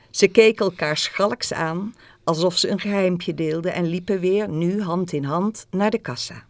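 A reading voice, unforced

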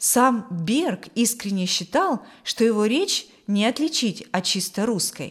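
The natural reading voice carries a lively intonation.

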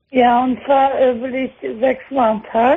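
A woman with a high pitch talks at a fairly slow pace, her voice carrying a slightly husky edge and barely moving in pitch.

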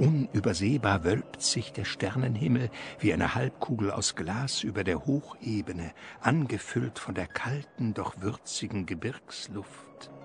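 Delivered at a fairly slow pace with few pauses, the speech has lively intonation. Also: man, fairly low pitch for a man.

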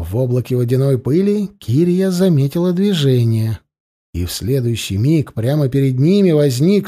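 Plain reading aloud with lively intonation comes through against a quiet background.

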